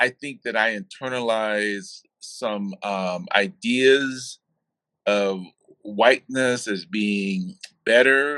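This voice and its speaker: Very slowly, a man speaks in a bright, sharp tone with a dry, close sound and no echo. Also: medium pitch for a man, ordinary pitch variation. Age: 70s. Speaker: interviewee. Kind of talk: interview. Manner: halting.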